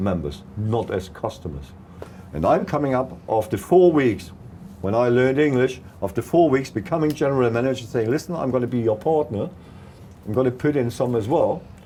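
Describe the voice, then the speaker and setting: Lively intonation at a fairly quick pace, with a slight South African accent. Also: man, medium pitch for a man. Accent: South African tinge in his English. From East Germany. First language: German. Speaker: political activist. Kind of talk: interview, life story. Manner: halting, non-native phrasing.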